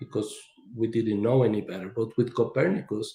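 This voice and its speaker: His voice carries a somewhat breathy quality. The speaker is a man with a medium pitch. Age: 60s. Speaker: engineer and author. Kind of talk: presentation in podcast interview.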